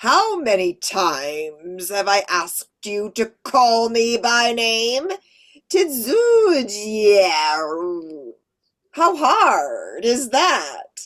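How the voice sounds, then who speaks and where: A female-sounding, put-on character voice, robotic and fairly high, is raised and projected at a very slow pace with very wide pitch swings. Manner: impatient, exasperated.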